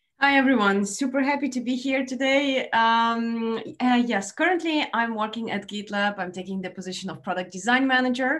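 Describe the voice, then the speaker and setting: Hardly any pauses, with a Russian accent. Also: woman, fairly high pitch for a woman, ordinary pitch variation, moderate pace. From Ukraine. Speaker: product design manager. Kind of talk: panel discussion.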